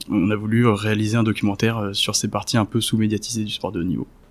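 A man with an ordinary speaking voice talks at a fairly quick pace, fairly low in pitch, with fairly even intonation. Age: 20s. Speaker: documentary filmmaker. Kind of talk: interview.

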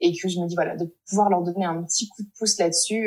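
A woman talks very fast at a medium pitch, sounding somewhat breathy. Her intonation stays fairly even. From France. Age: 20s. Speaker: speech therapist. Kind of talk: interview.

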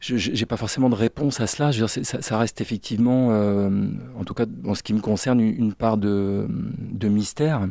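The man's dark, mellow tone moves along at a moderate pace. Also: fairly low pitch for a man, ordinary pitch variation. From Brittany, France (Finistère, Brest). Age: 50s. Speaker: therapist, former business owner. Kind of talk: interview testimony. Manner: hesitant, many fillers.

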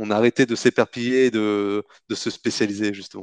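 Against a quiet background, a man speaks with monotone, flat intonation in a dry, close sound with no echo. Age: 30s. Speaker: entrepreneur, company co-founder. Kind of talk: interview.

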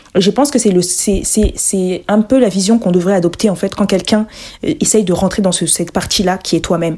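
Her tone comes across dark and mellow. This woman's pitch is medium. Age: 20s. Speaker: podcast host and entrepreneur. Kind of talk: solo podcast monologue. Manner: hesitant, many fillers.

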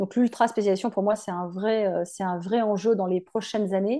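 Fairly high in pitch, a woman talks with fairly even intonation in an ordinary speaking voice. The background is quiet. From France, Drôme (near Valence). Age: 40s. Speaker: hairdressing educator. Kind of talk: casual interview.

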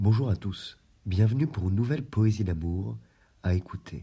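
A fairly slow, somewhat breathy delivery with a dark, mellow tone and ordinary pitch variation. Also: man. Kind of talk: poem reading, love poetry read aloud. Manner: slow, measured, formal, reflective; wistful, melancholic, expressive.

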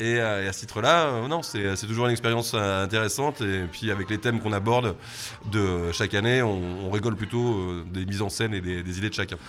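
Someone speaks at a fairly quick pace with ordinary pitch variation against noticeable background noise. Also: man, fairly low pitch for a man. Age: 40s. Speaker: bar owner. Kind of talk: interview. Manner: halting, many repetitions.

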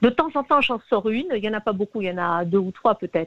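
This woman's intonation is lively. She moves along at a fairly quick pace. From Tunisia. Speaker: singer-songwriter. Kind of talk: interview. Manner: halting.

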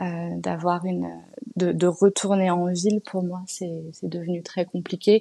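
The tone is dark and mellow, the intonation monotone and flat. Speech comes very slowly over a quiet background. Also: woman, fairly low pitch for a woman. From Paris, France. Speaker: natural dyer and clothing brand founder. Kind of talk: interview. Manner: hesitant with fillers.

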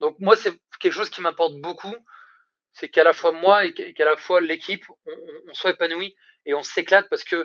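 A man's high-pitched voice at a fairly quick pace, with a dry, close sound and no echo. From France, Isère (between Lyon and Grenoble). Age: 30s. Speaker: recruitment startup founder. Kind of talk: casual interview. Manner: hesitant, many repetitions and fillers.

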